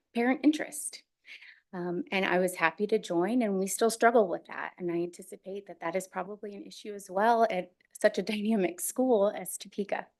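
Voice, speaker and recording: Speaking with an American accent in a normal speaking voice, a woman of medium pitch keeps a fairly quick pace. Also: big swings in loudness. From Missouri. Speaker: school board candidate. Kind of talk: candidate statement at public meeting. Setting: board meeting.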